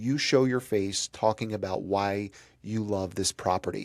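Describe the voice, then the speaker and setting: A man speaks in an animated tone with ordinary pitch variation. The recording is very clean, with a silent background and a dry, close sound with no echo. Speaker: real estate coach. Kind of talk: tutorial.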